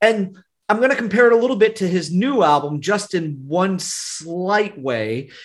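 A man's high voice carries lively intonation at a moderate pace. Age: 40s. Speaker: podcast host. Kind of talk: casual interview chat.

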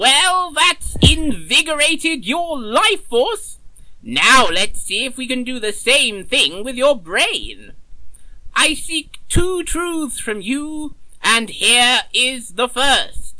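Over light background noise, a man uses a put-on character voice at an extremely high pitch and a very slow pace. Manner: genial, slightly absent-minded, theatrical.

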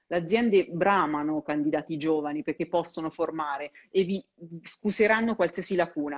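A woman's unremarkable speaking voice, pitched fairly low, moving at a moderate pace with ordinary pitch variation. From Perugia, Umbria, Italy. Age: 30s. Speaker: career coach and content creator. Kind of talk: live-stream interview.

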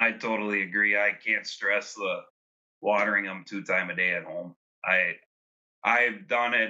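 Long, frequent pauses from a man with a fairly low pitch and monotone, flat intonation. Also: moderate pace. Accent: American. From Wisconsin, Fond du Lac. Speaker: dairy herdsman. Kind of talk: webinar panel discussion.

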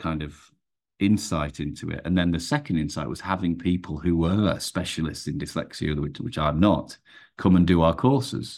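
A man speaks with an English accent in a very deep, low voice. The recording is very clean, with a silent background. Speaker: performance coach. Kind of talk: podcast interview. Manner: fast.

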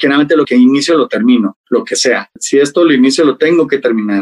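A man with a Mexico City accent and a fairly high pitch talks at a very fast pace with lively intonation, in a dry, close sound with no echo. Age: 30s. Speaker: hairstylist. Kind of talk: interview.

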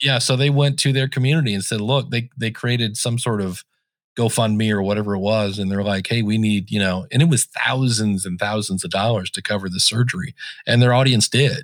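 Using an ordinary speaking voice, a man at a medium pitch talks at a fairly quick pace with ordinary pitch variation. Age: 50s. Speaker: podcasting consultant and technical trainer. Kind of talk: casual chat. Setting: remote call.

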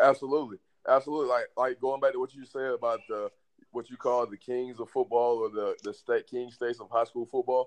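Speaking at a fairly quick pace, a man with a Southern US accent keeps a monotone, flat intonation while his loudness swings widely. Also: medium pitch for a man, dry, close sound with no echo. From Alabama. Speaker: strength and conditioning coach. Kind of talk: casual interview.

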